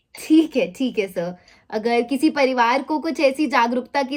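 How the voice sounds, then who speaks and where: Her pitch is high for a woman. The woman's pitch moves with ordinary variation. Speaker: life insurance awareness advisor, vlogger. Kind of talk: commentary to camera; phone call.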